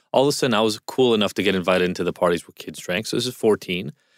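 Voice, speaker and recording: In a very clean recording with a silent background, a man speaks at fairly low pitch with ordinary pitch variation. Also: dry, close sound with no echo. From Israel. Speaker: addiction specialist. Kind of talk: podcast interview.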